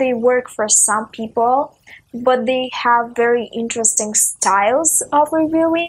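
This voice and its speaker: With a Russian accent, a woman talks in a high pitch that moves up and down in an ordinary way. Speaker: book video creator. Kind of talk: casual vlog talk. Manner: frequent filler uh.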